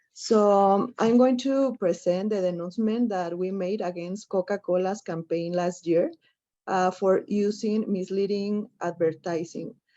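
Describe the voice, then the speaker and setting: A woman's dark, mellow tone at a fairly slow pace, over a quiet background. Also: medium pitch for a woman, ordinary pitch variation. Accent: Spanish. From Mexico. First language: Spanish. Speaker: activist, campaign coordinator. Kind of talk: panel presentation. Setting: webinar. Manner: halting.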